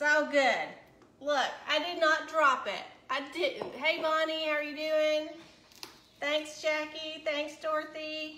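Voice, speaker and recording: In a room with audible echo and noticeable background noise, a woman with a high pitch projects a raised voice at a very slow pace in a monotone, flat intonation. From US South, Chattanooga, Tennessee. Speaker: cooking livestream host. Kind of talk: live cooking stream chat. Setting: home kitchen livestream.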